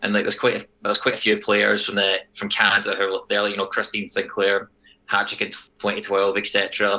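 A man with a Scottish accent at a moderate pace. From Scotland. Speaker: soccer podcast host. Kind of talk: casual sports podcast banter. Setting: remote recording, different time zone from co-hosts.

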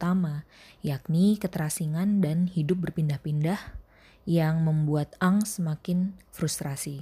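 Somewhat breathy and dark, mellow in tone, a woman with a fairly low pitch keeps a fairly even intonation on a very clean recording with a silent background. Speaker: podcast host and reader; school teacher. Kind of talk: literary audiobook reading of a short story.

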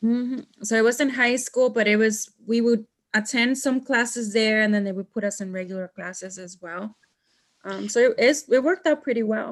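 A woman with a Mexican accent speaks in a fairly high pitch, with ordinary pitch variation and big swings in loudness. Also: moderate pace. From Mexico. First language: Spanish. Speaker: podcast host. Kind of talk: casual chat.

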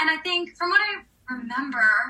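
A woman with an American accent and very wide pitch swings, amid noticeable background noise. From US South, New Orleans. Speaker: actress. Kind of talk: casual chat.

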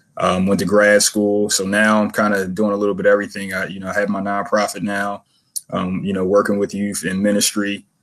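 A man with an American accent speaks at a fairly quick pace in a monotone, flat voice. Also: fairly low pitch for a man. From Philadelphia, US. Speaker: youth mentoring nonprofit founder. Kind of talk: interview. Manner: halting, many fillers.

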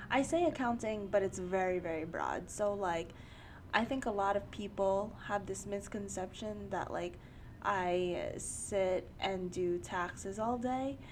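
The voice carries a New York accent, with ordinary pitch variation. The pace is fairly slow. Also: woman, medium pitch for a woman. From New York, Queens. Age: 20s. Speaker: podcast host. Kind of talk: casual chat.

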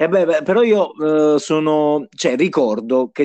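Recorded with a dry, close sound and no echo, a man speaks at a fairly high pitch with ordinary pitch variation. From southern Italy, Bisceglie (Apulia). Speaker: fantasy football league player. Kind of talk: casual chat.

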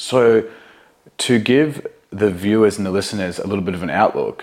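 A man's unremarkable speaking voice, fairly low in pitch, at a moderate pace. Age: 30s. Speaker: podcast host and fitness coach. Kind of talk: casual interview chat.

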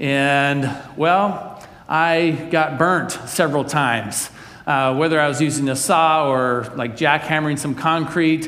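Amid noticeable background noise and audible room echo, the speaker moves at a fairly slow pace with fairly even intonation. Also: man, fairly high pitch for a man. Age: 40s. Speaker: pastor. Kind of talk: sermon.

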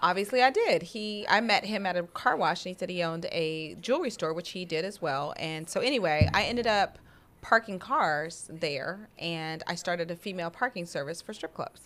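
A woman with an American accent speaks in a normal speaking voice at a fairly low pitch, with ordinary pitch variation, a moderate pace and hardly any pauses. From Denver, Colorado. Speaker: entrepreneur. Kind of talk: interview.

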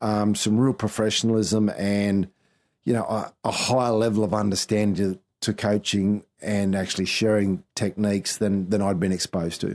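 A man's fairly low, monotone voice with flat intonation and an Australian accent, at a moderate pace and very even loudness, on a very clean recording with a silent background. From Queensland, Australia (Townsville). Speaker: former rugby league coach and analyst. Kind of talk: casual interview. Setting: his office.

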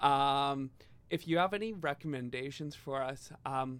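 This man has an ordinary speaking voice, pitched fairly high, with ordinary pitch variation and a fairly slow pace. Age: 30s. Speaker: music podcast host. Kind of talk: casual chat.

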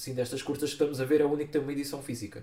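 A man speaks with a European Portuguese accent. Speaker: film podcast host. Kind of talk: casual chat.

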